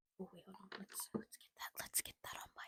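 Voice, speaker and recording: A woman speaks in an American accent, somewhat breathy, in a dry, close recording with no echo. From US, Virginia. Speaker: beauty vlogger. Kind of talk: makeup tutorial. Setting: at home, late at night. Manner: soft-spoken.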